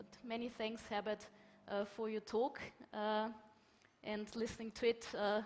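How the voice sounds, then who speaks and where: Slowish and marked by long, frequent pauses, a woman's fairly high voice stays monotone and flat in a German accent. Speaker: conference moderator. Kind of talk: conference moderation.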